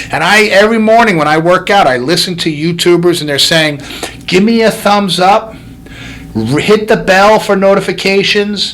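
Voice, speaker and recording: A loud man with high pitch talks in an animated tone at a moderate pace, his pitch varying in an ordinary way. Audible room echo and noticeable background noise surround him. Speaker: chiropractor and podcast host. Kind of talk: motivational podcast monologue.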